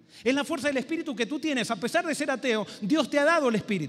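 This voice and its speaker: A man speaks at a very fast pace. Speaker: pastor. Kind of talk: sermon.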